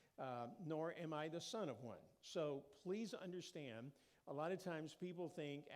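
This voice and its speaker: With audible room echo, someone speaks at a moderate pace with an American accent. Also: man. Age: 60s. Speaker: preacher. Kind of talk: informal sermon talk. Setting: church.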